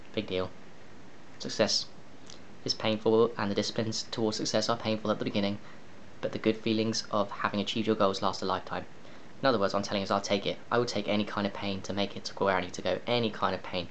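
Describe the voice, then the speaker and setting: Long, frequent pauses break up the speech of a man with a fairly low pitch. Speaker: vlogger. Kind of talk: personal vlog monologue. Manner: halting, many fillers and restarts; animated, emphatic.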